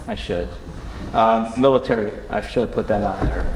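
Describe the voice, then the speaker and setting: Audible room echo and noticeable background noise surround a man talking at a fairly quick pace. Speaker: lawyer presenting at conference. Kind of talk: conference presentation. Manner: fast; halting, many fillers and restarts.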